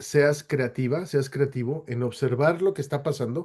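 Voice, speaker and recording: A man's fairly high, dark, mellow voice with a Latin American accent. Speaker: webinar speaker. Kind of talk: webinar Q&A. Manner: halting, many self-corrections.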